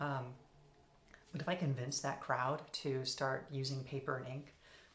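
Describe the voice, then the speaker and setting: Over audible room echo, a woman with a very deep, low pitch speaks at a fairly slow pace. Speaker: philosophy video essayist. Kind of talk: solo philosophical talk. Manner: halting, with repetitions and fillers.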